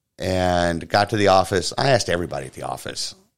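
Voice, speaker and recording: With an American accent, a man speaks at a fairly quick pace and a very deep, low pitch with vocal fry, in a very clean recording over a silent background. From Florida. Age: 40s. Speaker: podcast host. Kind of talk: casual chat. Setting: home studio.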